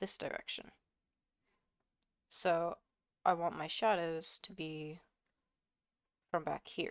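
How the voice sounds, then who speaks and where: Speaking very slowly, a woman leaves long, frequent pauses. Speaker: digital artist. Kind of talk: art tutorial voice-over. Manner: soft-spoken, hesitant.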